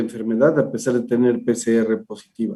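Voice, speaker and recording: The man's voice has a dark, mellow tone. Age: 60s. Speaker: physician. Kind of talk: interview.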